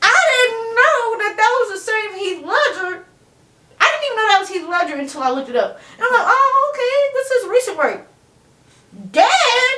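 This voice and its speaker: Raised and projected, a woman's extremely high voice swings very widely in pitch with a bright, sharp tone at a moderate pace, and audible room echo surrounds it. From Chicago, US Midwest. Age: 20s. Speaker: interview guest. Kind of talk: casual interview chat.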